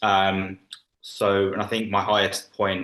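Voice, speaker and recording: A man speaks with a bright, sharp tone and a London accent. His pitch sits fairly low. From London, England. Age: 20s. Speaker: former coaching client. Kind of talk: interview testimony.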